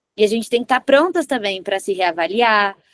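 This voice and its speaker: Animated in tone, a woman at medium pitch makes very wide pitch swings in a dry, close sound with no echo. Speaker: lawyer. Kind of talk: workshop talk.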